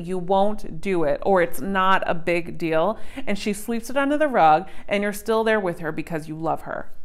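A woman speaks at a moderate pace, with a quiet background behind her. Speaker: relationship coach. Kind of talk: advice talk to camera. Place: home room.

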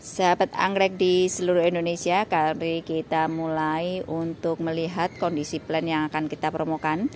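A woman talks at a moderate pace with hardly any pauses, her fairly low voice monotone and flat. The sound is dry with no echo, over light background noise. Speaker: orchid seller. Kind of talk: sales pitch. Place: garden. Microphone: phone near.

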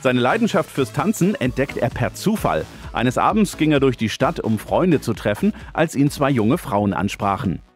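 Music plays in the background as a man speaks at a medium pitch with very wide pitch swings. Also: moderate pace, very even loudness. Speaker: news reporter. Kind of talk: news report narration.

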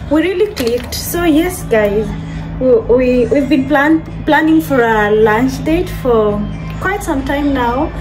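A woman talks at a fairly slow pace with clear music behind her. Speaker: vlogger. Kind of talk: casual vlog chat. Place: kitchen. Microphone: phone near.

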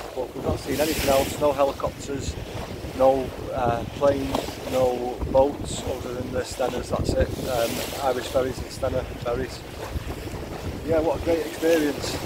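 A man amid loud background noise, with long, frequent pauses. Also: moderate pace, dry sound with no echo. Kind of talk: casual vlog chat. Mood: reflective, happy. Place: boat. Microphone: phone near.

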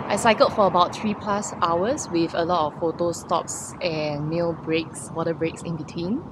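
There is noticeable background noise as a woman speaks, the sound dry with no echo. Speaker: cycling vlogger. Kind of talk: casual vlog chat. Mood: relaxed, cheerful after ride. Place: street. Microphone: phone near.

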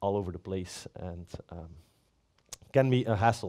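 Over a quiet background, a man talks in a dark, mellow tone. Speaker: platform architect, conference speaker; conference speaker. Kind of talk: conference talk. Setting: stage with audience. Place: stage.

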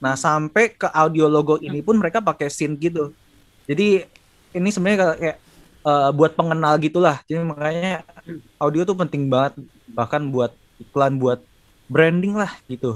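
In a plain, everyday voice, a man with fairly high pitch speaks at a moderate pace with ordinary pitch variation over a quiet background. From Indonesia. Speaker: sound designer and lecturer; lecturer. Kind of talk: casual chat. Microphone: video call.

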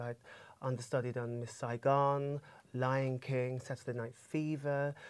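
The speaker is a man talking at a moderate pace. His intonation is monotone and flat. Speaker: guest. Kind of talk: interview answer. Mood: warm, reflective. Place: studio. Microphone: lapel.

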